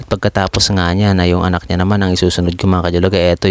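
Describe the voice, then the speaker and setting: Soft-spoken and very fast, a man talks at a very deep, low pitch with monotone, flat intonation, in a dry, close sound with no echo. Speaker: barber vlogger. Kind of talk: voice-over narration.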